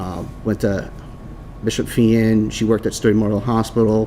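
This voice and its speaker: Noticeable background noise sits behind a man with a strong Boston accent and a fairly low pitch. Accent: thick Boston-area. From Rhode Island. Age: 30s. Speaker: firefighter. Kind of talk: public testimony at council meeting.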